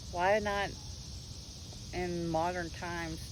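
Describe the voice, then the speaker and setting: A Southern US accent with audible room echo. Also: woman. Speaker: homesteading and faith vlogger. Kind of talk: casual monologue on faith and folklore.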